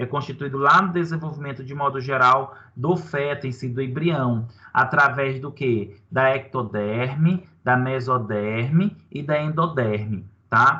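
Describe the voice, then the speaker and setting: Heard with audible room echo, a man with a medium pitch and a bright, sharp tone speaks at a fairly slow pace with ordinary pitch variation. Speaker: university lecturer. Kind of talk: online lecture. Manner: animated.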